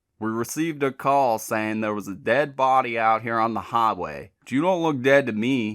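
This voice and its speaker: A man's put-on character voice in a Southern US accent, drawling at a moderate pace with hardly any pauses, medium in pitch, on a very clean recording with a silent background. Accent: Southern rural. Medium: read story. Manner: gruff, drawling, clipped orders.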